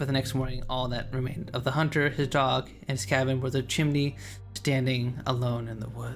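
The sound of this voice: An unforced voice reads with intonation that stays fairly even.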